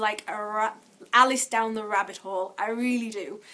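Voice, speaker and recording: A woman's bright, sharp tone. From Yorkshire, England. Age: adult. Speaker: vlogger. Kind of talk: casual vlog monologue.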